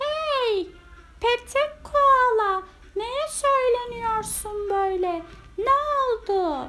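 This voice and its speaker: Putting on a character voice, a woman drags her words out at a very slow pace with an extremely high pitch. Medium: read story. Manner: warm, lively.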